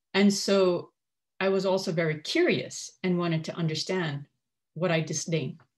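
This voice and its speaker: This woman's voice is fairly low in pitch and somewhat breathy, keeping a moderate pace and fairly even intonation. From Kuwait, Syrian parents. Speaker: former radio host and coach. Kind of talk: personal testimony.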